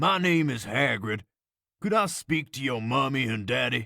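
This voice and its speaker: Here a man performs a put-on character voice, raspy and at a medium pitch. He moves at a moderate pace. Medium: read story. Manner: warm, kindly.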